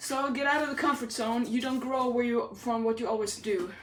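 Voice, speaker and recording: Speaking at a moderate pace, a woman with a fairly high pitch sounds animated, her pitch varying in an ordinary way against audible room echo. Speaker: fitness trainer. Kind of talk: live workout tutorial. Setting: livestream. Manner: loud.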